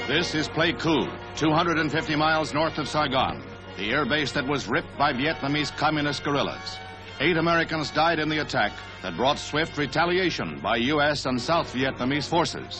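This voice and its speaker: Music plays in the background as a man with a fairly high pitch speaks at a moderate pace with ordinary pitch variation. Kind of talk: newsreel narration.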